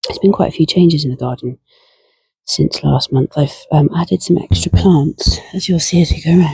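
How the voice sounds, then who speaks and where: Whispering quietly in a British accent, a woman speaks at a fairly quick pace with vocal fry, the sound dry and close with no echo. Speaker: gardening vlogger. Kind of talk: casual garden tour vlog. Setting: outdoors at allotment.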